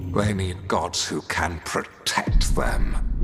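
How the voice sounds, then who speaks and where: Putting on a character voice, a man speaks at a very slow pace against clear background noise. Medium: machinima. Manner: cold, arrogant, commanding.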